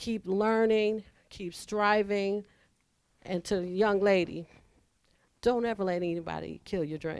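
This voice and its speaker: A woman speaks at medium pitch with fairly even intonation. Her pace is fairly slow, with long, frequent pauses. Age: 60s. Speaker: casting director. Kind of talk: audience comment at panel.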